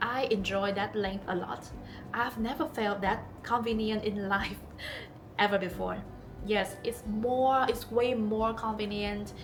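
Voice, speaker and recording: A woman with a non-native accent speaks fairly slowly in a fairly high voice with fairly even intonation as music plays in the background. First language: not English. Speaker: long hair model. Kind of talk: casual talk to camera.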